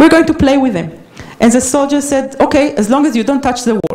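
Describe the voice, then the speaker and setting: A woman speaks with a high pitch and lively intonation. Noticeable background noise runs under her voice. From Israel. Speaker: peace activist. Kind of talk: lecture. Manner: halting.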